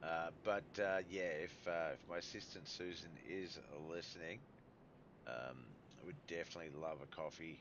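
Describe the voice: A man speaks with a low pitch and a fairly bright tone. His intonation is fairly even and his pace moderate.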